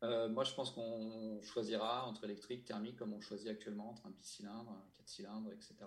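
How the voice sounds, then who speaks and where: A man speaks in a flat monotone with hardly any pauses and big swings in loudness, against noticeable background noise. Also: medium pitch for a man, fairly quick pace. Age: 30s. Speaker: motorcycle journalist. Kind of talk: casual chat.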